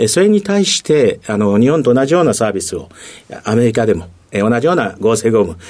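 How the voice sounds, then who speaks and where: Here a man with a medium pitch speaks at a fairly quick pace, his intonation lively. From Tokyo, Japan. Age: 60s. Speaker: company president. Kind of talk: interview. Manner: many fillers, halting.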